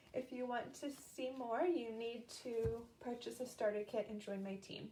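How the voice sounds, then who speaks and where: With an American accent and a high voice, a woman speaks at a moderate pace over noticeable background noise. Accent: Boston, slight, shows occasionally. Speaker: papercraft demonstrator, live-stream host. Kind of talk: live-stream crafting tutorial. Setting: live video stream. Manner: casual, chatty with fillers.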